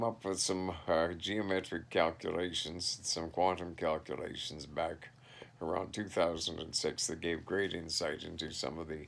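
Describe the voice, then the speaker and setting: Over a silent background in a very clean recording, a man with a Canadian prairie accent talks at a fairly slow pace in a very deep, low voice. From Canada, southeast Saskatchewan. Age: 60s. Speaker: vlogger. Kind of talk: casual monologue. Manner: halting.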